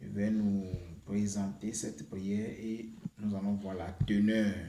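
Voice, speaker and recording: With audible room echo around him, a man talks at a fairly slow pace in a fairly low pitch, his tone dark and mellow and his intonation fairly even. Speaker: YouTube prayer channel host. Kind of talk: spiritual teaching and prayer. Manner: hesitant, with many fillers.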